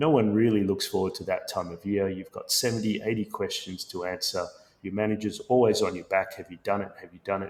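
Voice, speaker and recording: Moving at a fairly quick pace, a man with an Australian accent shows big swings in loudness. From Sri Lanka and Australia. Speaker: tech company founder and CEO. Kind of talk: podcast interview.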